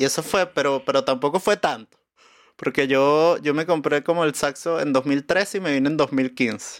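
A man talks in a plain, everyday voice at a fairly high pitch and moderate pace, with ordinary pitch variation and very even loudness. The very clean recording is dry and close, with no echo and a silent background. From Venezuela, Caracas. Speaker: musician and comedian. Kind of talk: casual chat.

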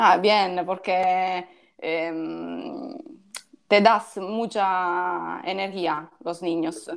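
Speaking very slowly with an Italian accent, a woman uses a medium pitch and ordinary pitch variation. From Sicily, Ragusa. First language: Italian (speaking Spanish). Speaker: judoka and musician. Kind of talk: casual interview. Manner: halting, mixing Italian.

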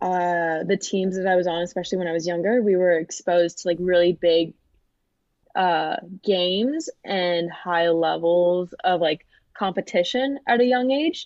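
A woman with a normal speaking voice and an American accent, medium in pitch, with ordinary pitch variation at a fairly slow pace. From Florida, US (Fort Lauderdale). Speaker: college volleyball player and student. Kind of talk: interview.

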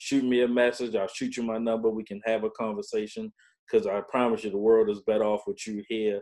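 In a medium pitch, a man speaks with monotone, flat intonation. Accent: American. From Baltimore, Maryland. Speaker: veteran, claims consultancy CEO. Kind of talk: casual interview, personal story.

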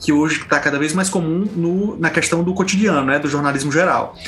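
A man talks at a fairly quick pace with fairly even intonation. There's audible room echo and noticeable background noise. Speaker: journalist, podcast co-host. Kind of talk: casual panel discussion.

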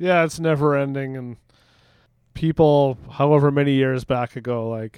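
A man with a Canadian accent uses an unremarkable speaking voice at medium pitch with fairly even intonation. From Canada. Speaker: podcaster and musician. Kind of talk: casual chat.

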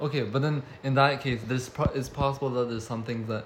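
With fairly even intonation, a male voice comes through noticeable background noise. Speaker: podcast host. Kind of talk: casual chat. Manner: monotone tonight.

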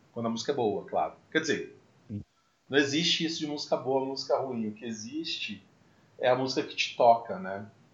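A somewhat breathy man speaks fairly quickly at medium pitch with ordinary pitch variation. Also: big swings in loudness. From Brazil, Mococa (São Paulo state). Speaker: podcast host, musician. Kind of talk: casual chat.

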